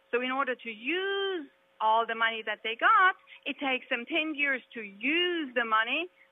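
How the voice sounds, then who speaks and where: Speaking at a moderate pace with a German accent, a woman uses a high pitch, lively intonation and an animated tone. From Germany. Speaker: candidate for state house, businesswoman. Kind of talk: political debate. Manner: animated, emphatic.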